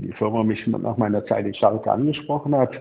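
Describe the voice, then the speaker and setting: The man's voice sits at a medium pitch, and its pitch varies in an ordinary way. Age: 60s. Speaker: former football club technical director. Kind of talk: interview. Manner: halting, many repetitions.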